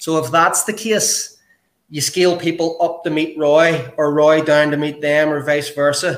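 Speaking with a Northern Irish accent, a man uses a fairly high pitch, fairly even intonation and a fairly slow pace. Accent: Northern Irish (Belfast). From Belfast, Northern Ireland. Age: 40s. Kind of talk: casual interview chat.

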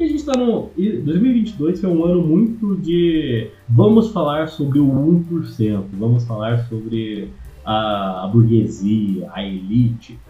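With music in the background and audible room echo, a man at a medium pitch speaks very slowly, his pitch swinging very widely. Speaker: film video creator and screenwriter. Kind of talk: casual chat.

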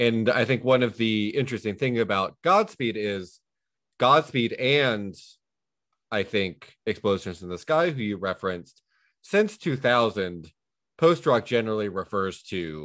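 Against a quiet background, a man with an unremarkable speaking voice talks at a moderate pace in a fairly low pitch, his intonation lively. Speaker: podcast host. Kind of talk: casual banter podcast chat.

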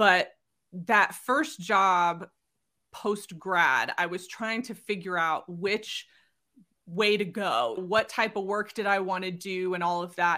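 The recording is very clean, with a silent background. A woman of medium pitch speaks at a very slow pace in a bright, sharp tone with ordinary pitch variation. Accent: Californian. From Southern California. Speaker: career coach. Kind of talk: interview conversation.

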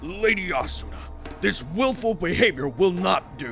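Against clear background noise, a man puts on a character voice at a high pitch and a moderate pace. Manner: barely suppressed rage, formal.

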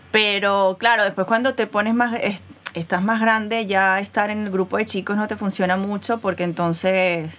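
With a plain, everyday voice, a woman speaks at a medium pitch and moderate pace, her intonation fairly even. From Venezuela. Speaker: podcast co-host. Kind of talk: casual chat.

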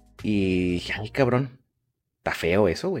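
A man speaks with a Mexican accent. The recording is very clean, with a silent background. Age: 20s. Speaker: podcast host. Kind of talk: casual chat. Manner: fast.

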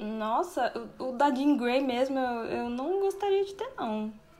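With noticeable background noise behind her, a woman speaks in a high pitch at a very slow pace with lively intonation. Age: 20s. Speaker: writer. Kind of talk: casual chat.

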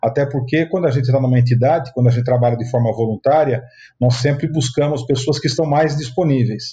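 A man speaks at a medium pitch in a dark, mellow tone. His voice is somewhat breathy, with ordinary pitch variation. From Sorocaba, interior of São Paulo state, Brazil. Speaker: state housing official and real estate businessman. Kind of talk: interview.

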